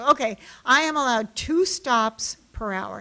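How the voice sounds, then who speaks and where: This voice belongs to a woman. Her pitch rises and falls in an ordinary way. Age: 60s. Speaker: novelist. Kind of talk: author talk. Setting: library event with audience. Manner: hesitant, many fillers.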